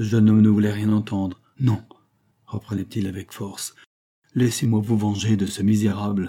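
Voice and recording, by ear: A quiet setting, with someone reading aloud in a natural voice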